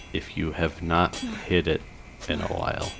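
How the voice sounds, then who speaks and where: Noticeable background noise behind a male speaker with a very deep, low pitch. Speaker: gaming commentator. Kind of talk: gameplay commentary. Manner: slurs words at times.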